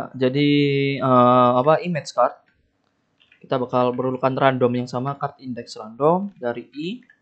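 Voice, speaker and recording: Intonation stays fairly even as a man speaks. It is quiet behind him. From Indonesia. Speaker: game development tutorial youtuber; game development tutor. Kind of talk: screen-recorded coding tutorial; tutorial. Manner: casual, thinking aloud with fillers. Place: home room.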